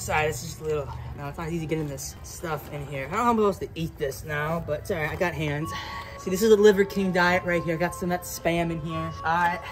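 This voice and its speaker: Clear music plays behind a man. He talks at a very fast pace with ordinary pitch variation. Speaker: YouTube challenge host. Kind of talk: casual vlog chat. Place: open country. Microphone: camera far.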